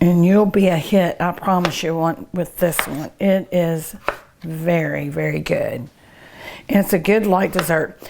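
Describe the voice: A woman's fairly low, slightly mellow voice with vocal fry, fairly even intonation and a fairly slow pace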